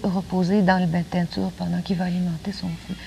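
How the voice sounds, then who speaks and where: A woman talks at a moderate pace and medium pitch. Her voice is somewhat breathy and her intonation flat and monotone. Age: 30s. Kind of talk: TV interview answer.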